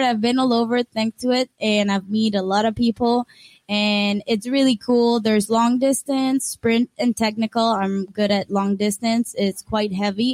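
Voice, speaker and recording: A woman speaks with a Costa Rican accent at a moderate pace and fairly high pitch. Her intonation is fairly even, her loudness very even, and the sound dry and close with no echo. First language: Spanish. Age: 20s. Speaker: paddleboard athlete. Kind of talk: interview.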